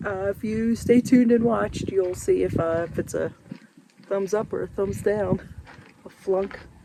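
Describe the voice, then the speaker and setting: A moderate pace in an American accent, over noticeable background noise. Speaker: RV travel vlogger. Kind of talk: casual vlog. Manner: soft-spoken.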